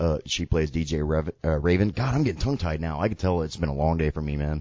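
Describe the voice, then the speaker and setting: Very deep, low male voice moving at a fairly quick pace. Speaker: radio host. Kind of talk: casual chat. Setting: studio. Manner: animated.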